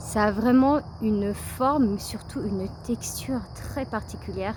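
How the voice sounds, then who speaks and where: Speaking at a very slow pace, a woman has a dark, mellow tone that is somewhat breathy, with ordinary pitch variation. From Paris, France. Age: 30s. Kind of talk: casual vlog narration on a nature walk. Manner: hesitant, chatty.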